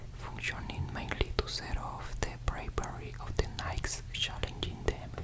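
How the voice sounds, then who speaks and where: Noticeable background noise fills the clip. Through it, a man whispers very slowly. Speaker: ASMR creator. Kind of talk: ASMR book reading. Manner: whispered.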